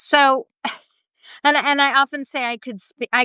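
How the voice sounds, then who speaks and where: The tone of this woman's voice is bright and sharp. The sound is dry and close with no echo, over a quiet background. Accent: American. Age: 50s. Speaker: expat interviewee. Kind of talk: interview. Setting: live stream.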